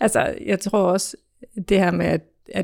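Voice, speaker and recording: A woman at a moderate pace, in a very clean recording with a silent background and a dry, close sound with no echo. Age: 30s. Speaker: office trainee. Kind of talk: interview. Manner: hesitant, many fillers.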